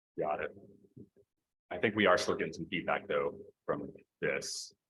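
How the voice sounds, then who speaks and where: A man talks at a moderate pace. He leaves long pauses, and they come often. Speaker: school board president. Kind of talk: board meeting. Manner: loud.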